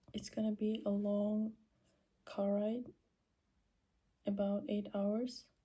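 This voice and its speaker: A woman's very slow, monotone voice, dark and mellow in tone, somewhat breathy, with flat intonation and long, frequent pauses. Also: medium pitch for a woman, very even loudness. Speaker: vlogger. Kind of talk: casual vlog narration.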